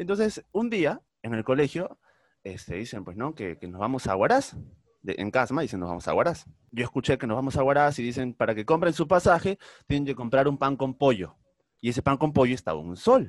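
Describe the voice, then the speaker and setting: The man talks at a fairly quick pace with a medium pitch, vocal fry and very wide pitch swings. The sound is dry and close, with no echo. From Peru, Trujillo (northern coast). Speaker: podcast co-host. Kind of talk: casual chat. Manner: animated, laughing often.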